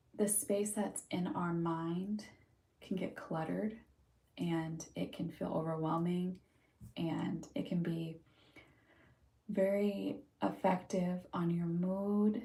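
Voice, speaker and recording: A soft-spoken woman with a fairly low pitch, a dark, mellow, somewhat breathy tone, a very slow pace and long, frequent pauses. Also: ordinary pitch variation. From California, Huntington Beach. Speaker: livestreamer, mental health practitioner. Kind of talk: casual livestream chat.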